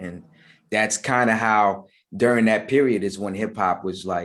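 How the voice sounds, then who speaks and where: A man with fairly even intonation on a very clean recording, silent in the background. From US, Maryland / DC area. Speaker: rapper. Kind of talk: interview. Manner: halting, repetitive.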